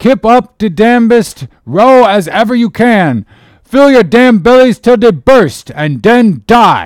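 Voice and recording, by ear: Using a put-on character voice, a man speaks with a high pitch and big pitch swings. His pace is slow.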